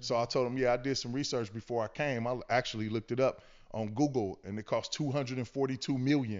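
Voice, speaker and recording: Someone with an American accent talks with fairly even intonation in a plain, everyday voice. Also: man, medium pitch for a man. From Los Angeles, West LA. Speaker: community worker, formerly incarcerated. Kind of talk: casual interview chat.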